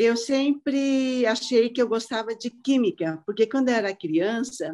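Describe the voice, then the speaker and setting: A woman with a fairly high, dark and mellow voice talks at a fairly slow pace with lively intonation. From Brazil, southeast and Paraná. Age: 60s. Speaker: ceramic artist. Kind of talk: casual chat. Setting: video call.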